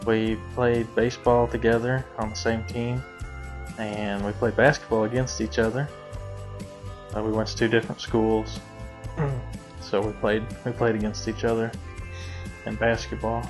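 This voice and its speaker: With music in the background, a man speaks at a fairly low pitch and a moderate pace. His pitch varies in an ordinary way, broken by long, frequent pauses. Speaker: cattle hauler. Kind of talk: interview answer.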